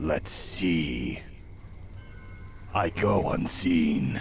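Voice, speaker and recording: Over clear background noise, a man puts on a character voice pitched very deep and low. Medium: video game. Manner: secretive.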